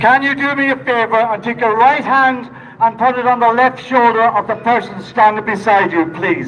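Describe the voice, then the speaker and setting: A high-pitched man at a moderate pace, ordinary pitch variation, over noticeable background noise. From Ireland, Donegal. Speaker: protest speaker. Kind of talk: rally speech. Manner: impassioned.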